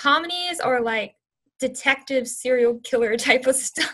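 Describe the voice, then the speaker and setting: Raising and projecting her high-pitched voice, a woman speaks at a moderate pace. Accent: American. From US South, Louisiana (Baton Rouge), later Houston. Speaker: university student and activist. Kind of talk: interview.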